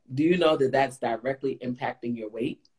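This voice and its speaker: At a fairly quick pace, a woman speaks with a very deep, low pitch and a dark, mellow tone. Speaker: plant-based chef and health coach. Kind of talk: live Q&A video chat. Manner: animated.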